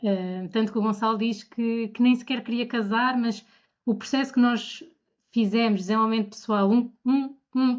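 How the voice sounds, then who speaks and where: This woman has a normal speaking voice, fairly high in pitch. She keeps a moderate pace and fairly even intonation. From Portugal, Bombarral. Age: 30s. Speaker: bride, podcast guest. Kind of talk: casual interview.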